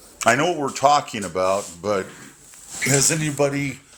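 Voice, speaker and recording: A man with lively intonation keeps to a moderate pace while noticeable background noise carries on behind him. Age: 60s. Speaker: caller on live dating discussion. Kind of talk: casual group discussion. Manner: halting, many fillers.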